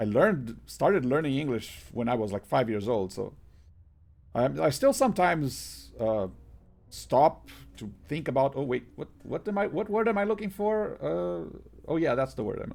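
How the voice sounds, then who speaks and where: Speaking with a Portuguese accent, a man at medium pitch lets his voice swing very widely in pitch. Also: moderate pace. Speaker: game streamer. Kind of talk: casual live-stream chat. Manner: halting, many repetitions and fillers.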